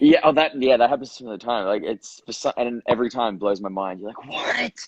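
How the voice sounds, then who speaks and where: In an Australian accent, a man talks at a fairly quick pace and medium pitch with ordinary pitch variation and big swings in loudness, in a dry, close sound with no echo. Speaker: actor. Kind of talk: casual chat. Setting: Instagram live video.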